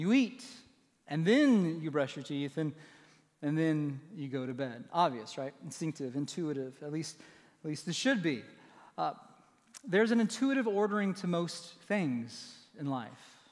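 The speaker's voice moves in very wide pitch swings at a fairly slow pace. Long, frequent pauses break it up against a quiet background. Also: man. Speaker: pastor. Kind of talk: sermon. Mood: light, humorous. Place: church. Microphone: headset.

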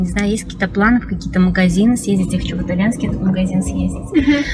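Behind this woman's voice, music can be faintly heard. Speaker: vlogger. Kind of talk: casual vlog chat. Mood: cheerful, chatty. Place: car. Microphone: phone near.

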